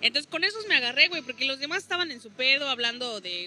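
A woman's intonation rises and falls in a lively way as she talks fairly quickly, with noticeable background noise behind her. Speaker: stand-up comedian. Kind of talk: casual chat.

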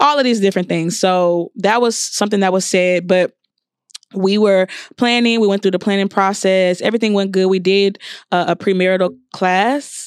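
A woman at medium pitch talks at a moderate pace with fairly even intonation and an unremarkable speaking voice. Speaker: podcast co-host.

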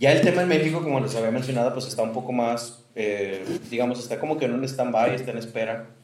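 Fairly quick, medium-pitched male speech amid noticeable background noise and audible room echo. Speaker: podcast host. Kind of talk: casual chat.

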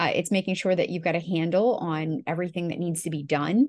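The setting behind her is quiet. A woman speaks fairly quickly, her pitch varying in an ordinary way. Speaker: podcast co-host and online business manager. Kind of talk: casual business podcast chat. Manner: laughs often, friendly.

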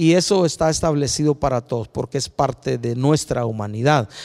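At a moderate pace, a man speaks with lively intonation and a fairly high pitch on a very clean recording with a silent background. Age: 60s. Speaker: preacher. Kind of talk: sermon. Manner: halting.

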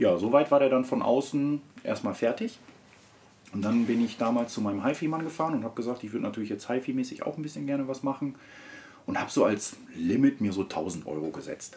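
A man at medium pitch, very fast pace, and lively intonation. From Ruhr area, Germany (Wanne-Eickel). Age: 30s. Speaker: car enthusiast. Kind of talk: casual chat.

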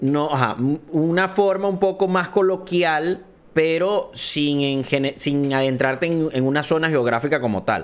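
With a normal speaking voice, a man talks fairly slowly in a fairly high pitch, with ordinary pitch variation and very even loudness. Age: 30s. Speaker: podcast host and esports caster. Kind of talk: casual chat.

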